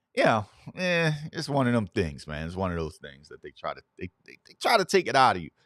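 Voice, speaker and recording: A man at a fairly quick pace, with very wide pitch swings and big swings in loudness. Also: medium pitch for a man. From US South, Mississippi; moved to Camden, New Jersey in third grade. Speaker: morning show host. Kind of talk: casual talk show monologue. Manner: repetitive fillers, casual.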